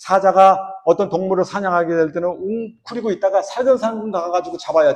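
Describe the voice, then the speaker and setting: The speaker is a man with a high-pitched voice. He talks at a fairly quick pace. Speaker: church elder preaching. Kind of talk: sermon.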